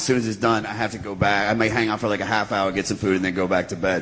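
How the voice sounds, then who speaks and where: A man with a fairly low voice talks at a very fast pace in a monotone, flat intonation. Noticeable background noise runs underneath. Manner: announcer-like.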